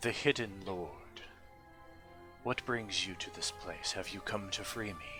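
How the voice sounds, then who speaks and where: Clear music plays behind a man speaking at a fairly slow pace. He uses a put-on character voice. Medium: actual play. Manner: formal, deliberate, imperious.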